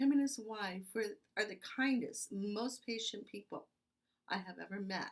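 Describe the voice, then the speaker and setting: The woman talks fairly slowly. Her pitch shows ordinary variation. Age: 60s. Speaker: patient. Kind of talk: testimony.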